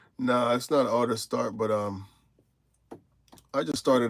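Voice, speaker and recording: With an American accent, a man talks in a relaxed tone at a medium pitch, his intonation fairly even. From Tennessee (Morristown), US South. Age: 40s. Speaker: truck driver, live streamer. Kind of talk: casual live stream chat reading viewer comments. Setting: in truck cab at the yard. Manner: relaxed, conversational.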